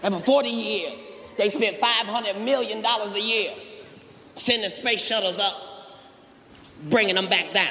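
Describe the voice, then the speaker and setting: In a raised, projected voice, a man with a high pitch speaks at a moderate pace over noticeable background noise. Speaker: stand-up comedian. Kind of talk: stand-up comedy routine.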